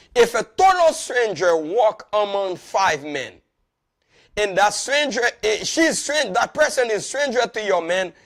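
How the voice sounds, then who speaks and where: Loud and animated, a high-pitched man speaks at a fairly slow pace with very wide pitch swings on a very clean recording with a silent background. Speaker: pastor and marriage show host. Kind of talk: marriage teaching talk, sermon-like. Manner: animated, repetitive emphasis.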